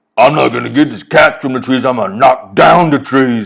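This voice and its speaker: A man in a put-on character voice, at a fairly quick pace. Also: medium pitch for a man. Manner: boastful, gruff, tough.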